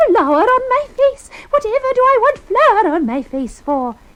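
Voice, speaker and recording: In a put-on character voice, a woman talks at a fairly slow pace, raising and projecting an extremely high, squeaky voice that swings very widely in pitch. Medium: read story.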